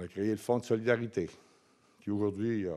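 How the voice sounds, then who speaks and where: With a Quebec accent, a man talks at a fairly slow pace and a fairly low pitch. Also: quiet background. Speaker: foundation president; speaker. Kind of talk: closing remarks speech. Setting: conference with audience. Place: hall. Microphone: podium.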